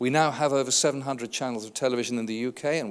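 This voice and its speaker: A man of medium pitch with ordinary pitch variation at a very fast pace, on a very clean recording with a silent background. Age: 60s. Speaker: advertising industry consultant. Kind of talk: conference keynote speech.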